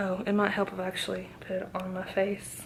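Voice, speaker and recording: A woman whispers at a moderate pace. Noticeable background noise and audible room echo surround her. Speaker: vlogger. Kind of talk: vlog monologue. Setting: hotel room. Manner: mumbling, running words together.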